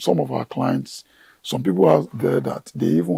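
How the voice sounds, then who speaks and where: A man speaks at a moderate pace with a very deep, low pitch and vocal fry. The sound is dry and close, with no echo. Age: 60s. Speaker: gardener and plant professional. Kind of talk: TV interview.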